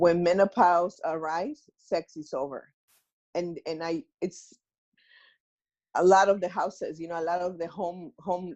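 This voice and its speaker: A woman with a Mexican accent, fairly low in pitch, at a fairly slow pace, with ordinary pitch variation against a quiet background. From Mexico. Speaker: self-healing workshop organizer. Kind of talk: interview answer.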